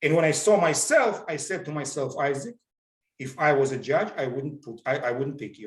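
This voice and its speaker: A man talks at a moderate pace in a fairly high, somewhat breathy voice. His loudness swings widely while his pitch varies in an ordinary way. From Georgia (country). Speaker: motivational speaker.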